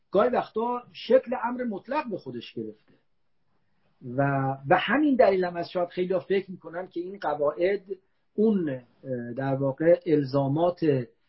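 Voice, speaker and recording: Speaking at a moderate pace with long, frequent pauses, a high-pitched man swings his pitch very widely. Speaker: philosophy professor. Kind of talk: lecture. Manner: formal; soft-spoken.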